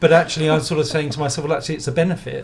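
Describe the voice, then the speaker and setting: A man with an English accent speaks in a somewhat breathy voice. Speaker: designer. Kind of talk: podcast interview.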